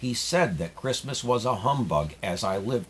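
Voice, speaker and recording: A man puts on a character voice at a medium pitch, swinging very widely up and down in pitch. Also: moderate pace. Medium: read story. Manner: hearty, laughing.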